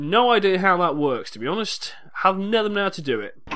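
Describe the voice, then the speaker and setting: This man's tone is bright and sharp. His intonation is lively. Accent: English. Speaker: video game let's play commentator. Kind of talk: gameplay commentary.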